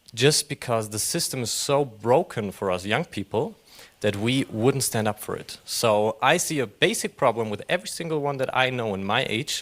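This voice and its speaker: At a moderate pace, a man with a German accent and medium pitch speaks with lively intonation. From Germany. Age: young. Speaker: audience member. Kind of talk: audience question. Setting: panel session with live audience.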